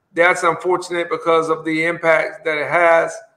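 A man's high-pitched voice with an Alabama accent, bright and sharp in tone, at a moderate pace. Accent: Southern US (Alabama). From US South, Montgomery, Alabama. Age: Generation X. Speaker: mayor. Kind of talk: interview.

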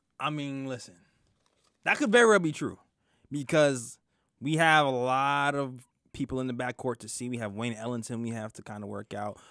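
A man with a New York accent speaks at a moderate pace and medium pitch, his bright, sharp tone showing ordinary pitch variation and big swings in loudness, with long, frequent pauses, a dry sound with no echo and a quiet background. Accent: New York (Brooklyn) English. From Brooklyn, New York. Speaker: sports podcast co-host. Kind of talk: casual sports talk show. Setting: studio. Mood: relaxed, thoughtful. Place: studio. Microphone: studio mic.

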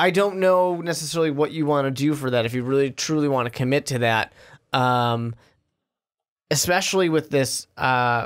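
The setting is quiet. A man talks with ordinary pitch variation, keeping a moderate pace. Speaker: podcast co-host. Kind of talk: sports podcast discussion. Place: studio. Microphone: studio mic.

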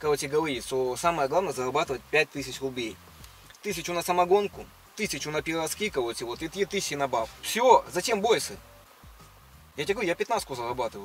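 Speech moves at a very fast pace, with a dry sound with no echo and faint music in the background. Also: man. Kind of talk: casual banter, playing a role. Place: car. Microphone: phone near.

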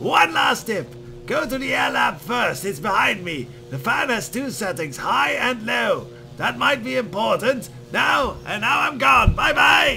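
Shouting in a high-pitched, put-on character voice, a man is heard over clear background noise. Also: fairly slow pace. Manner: impression, hard to sustain.

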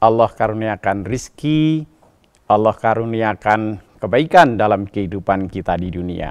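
Here a man talks at a fairly slow pace. The background is quiet. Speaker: religious preacher. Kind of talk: sermon. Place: studio. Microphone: lapel.

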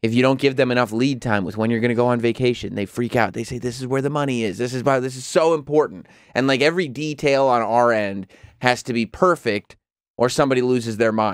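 Over a quiet background, a man talks at a very fast pace with ordinary pitch variation in a dry sound with no echo. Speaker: podcast host. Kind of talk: casual chat. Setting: studio. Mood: mildly exasperated, humorous. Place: studio. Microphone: studio mic.

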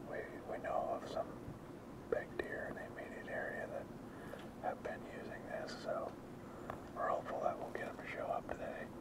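Amid loud background noise, a man speaks at a moderate pace with long, frequent pauses in a dry sound with no echo. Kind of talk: casual hunting vlog chat. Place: forest.

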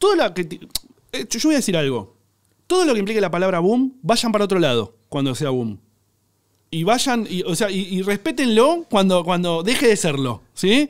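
A man speaks at a high pitch and a moderate pace. His pitch swings very widely, with a quiet background behind him. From Argentina. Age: 30s. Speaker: cook and content creator; content creator. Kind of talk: casual chat. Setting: studio. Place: studio. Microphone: studio mic.

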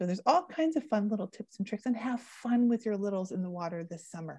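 Somewhat breathy with a dark, mellow tone, the voice has a Canadian accent and lively intonation, recorded dry with no echo over a quiet background. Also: woman. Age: 40s. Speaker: drowning prevention educator. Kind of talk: educational presentation. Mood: warm, upbeat. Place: home room. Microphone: earbuds.

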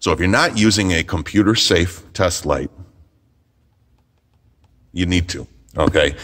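A man with a very deep, low pitch and vocal fry talks at a moderate pace with ordinary pitch variation. The background is quiet. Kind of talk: product demo tutorial. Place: workshop.

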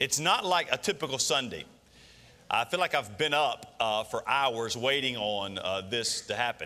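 This man has a bright, sharp tone and keeps a moderate pace. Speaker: senior pastor. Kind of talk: sermon. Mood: warm, relaxed. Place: church.

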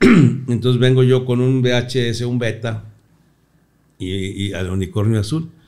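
A man's dark, mellow voice at a very slow pace, with ordinary pitch variation against a quiet background. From Mexico, Torreón, Coahuila; Coahuila, Mexico. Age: 60s. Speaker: comedian. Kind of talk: casual interview chat. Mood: relaxed, amused storytelling. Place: studio. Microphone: studio mic.

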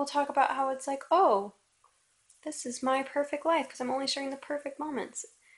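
Her pitch high and its variation ordinary, a woman speaks at a fairly quick pace. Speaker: vlogger. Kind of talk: casual vlog rant. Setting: video to camera at home. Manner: rambling, unscripted, self-questioning. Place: home room. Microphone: phone near.

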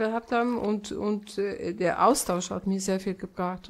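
A woman with a normal speaking voice talks at a medium pitch and a fairly slow pace with fairly even intonation. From Poland. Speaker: painter. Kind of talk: interview answer.

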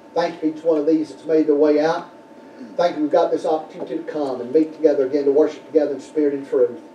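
Very fast and monotone, a man rattles off his words with flat intonation. Audible room echo and light background noise fill the recording. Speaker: pastor. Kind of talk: sermon. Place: church. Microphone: podium.

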